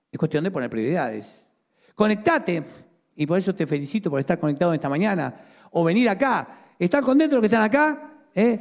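Talking at a fairly quick pace in a Rioplatense accent, a man with a high pitch makes very wide pitch swings. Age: 50s. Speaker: pastor. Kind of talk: sermon.

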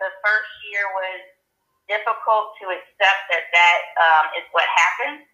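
With music in the background, a woman with an American accent talks at a fairly slow pace and medium pitch, leaving long, frequent pauses. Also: fairly even intonation. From Atlanta, Georgia, US South. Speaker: state politician. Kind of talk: interview. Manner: frank.

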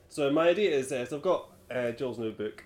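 Lively intonation runs through this man's ordinary speaking voice. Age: 20s. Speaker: podcast host. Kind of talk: casual chat.

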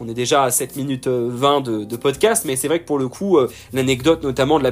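A man's medium-pitched voice is heard over background music. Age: 20s. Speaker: funeral worker. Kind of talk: monologue storytelling. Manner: halting.

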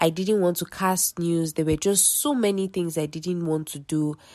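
On a very clean recording with a silent background, a woman with a fairly low voice speaks in a confident tone with fairly even intonation. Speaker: podcast host. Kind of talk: faith-based solo talk. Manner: casual.

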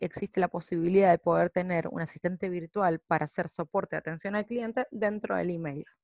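On a very clean recording with a silent background and a dry, close sound with no echo, a woman with an unremarkable speaking voice talks at a medium pitch with ordinary pitch variation and hardly any pauses. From Argentina. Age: 30s. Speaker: business founder. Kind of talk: prepared presentation. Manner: formal.

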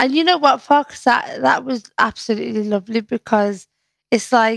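A woman with a Liverpool accent and a fairly high pitch, in dry, close sound with no echo. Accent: Scouse. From Liverpool, northern England. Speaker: poet and community activist. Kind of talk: casual chat.

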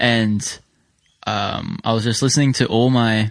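This man has a plain, everyday voice, pitched fairly low, with fairly even intonation. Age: young. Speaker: podcast co-host. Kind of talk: casual chat.

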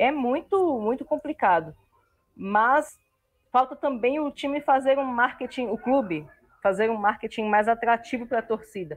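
A woman with a plain, everyday voice, fairly high in pitch, lively in intonation and moderate in pace. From Brasília, Brazil. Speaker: university student and football fan. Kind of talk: casual chat.

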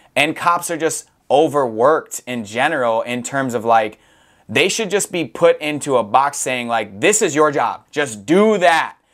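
An American-accented man speaks in an ordinary speaking voice at a fairly high pitch and a fairly slow pace. His intonation is lively, and the recording is very clean with a silent background. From Wisconsin, US Midwest. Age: 20s. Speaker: podcast host and rapper. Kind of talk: casual conversation.

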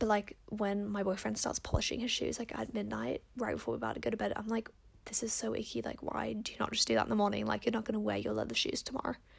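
The speech comes at a very fast pace in an animated tone, with hardly any pauses. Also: woman. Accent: Australian. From Perth, Australia. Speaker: podcast host giving advice. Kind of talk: casual solo chat answering listener questions. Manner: fast talker; animated, chatty.

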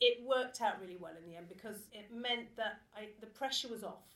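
In a southern English accent, a woman talks at a high pitch. Her pace is moderate. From England (Watford). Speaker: theatre artistic director. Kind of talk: talk to live audience. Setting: stage with audience.

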